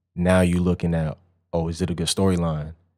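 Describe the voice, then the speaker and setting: In a very clean recording with a silent background, a man with a New York accent speaks at a moderate pace in a very deep, low pitch with monotone, flat intonation. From Long Island, New York. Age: 20s. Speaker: photographer. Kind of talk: casual chat.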